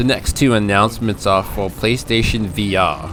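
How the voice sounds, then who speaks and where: A man with an Australian accent, fairly low pitch, ordinary pitch variation and moderate pace, with music in the background. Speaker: gaming YouTuber. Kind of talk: casual talk to camera. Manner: enthusiastic.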